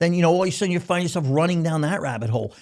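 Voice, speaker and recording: With an American accent, a man talks in an animated tone on a very clean recording with a silent background. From US Northeast, Philadelphia. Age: 60s. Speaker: company CEO and founder. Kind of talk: casual interview.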